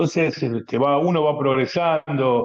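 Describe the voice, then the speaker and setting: A man with a fairly high pitch and ordinary pitch variation speaks in a Rioplatense accent. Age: 60s. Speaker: writer. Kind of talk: radio interview.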